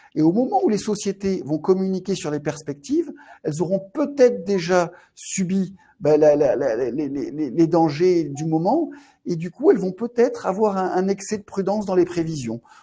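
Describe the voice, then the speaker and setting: A man's high-pitched voice, dark and mellow in tone, lively in intonation, at a moderate pace. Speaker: fund manager. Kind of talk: webinar presentation. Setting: online webinar. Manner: halting, many repetitions.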